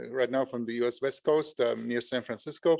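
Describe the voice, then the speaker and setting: A man with a German accent speaks at a moderate pace and a medium pitch. The background is quiet. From Germany. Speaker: entrepreneur, company co-founder. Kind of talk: online panel discussion.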